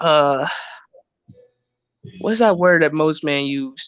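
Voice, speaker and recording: A man's fairly high voice moves at a very slow pace with ordinary pitch variation. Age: 20s. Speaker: livestream guest. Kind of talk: casual chat. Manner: halting, many fillers.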